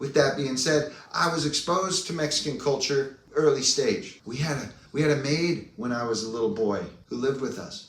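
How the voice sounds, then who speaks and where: A man with an American accent speaks at a moderate pace in a fairly high voice. His intonation is lively and his tone animated, with audible room echo around him. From US, San Diego, California. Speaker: video blogger, personal growth speaker. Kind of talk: casual personal vlog monologue.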